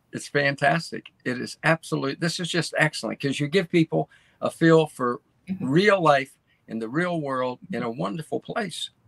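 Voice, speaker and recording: A man with an American accent speaks in a normal speaking voice at a fairly high pitch and a moderate pace. His pitch varies in an ordinary way, and the sound is dry and close with no echo. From US, Baltimore. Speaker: co-host. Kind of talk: casual chat. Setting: video call.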